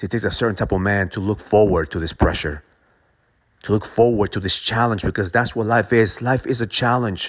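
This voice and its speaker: A man speaks at a fairly quick pace in an intense tone, his pitch fairly low with ordinary variation. The recording is very clean, with a silent background. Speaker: motivational speaker. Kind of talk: pep talk. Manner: intense, forceful, motivational; emphatic, punchy repetition.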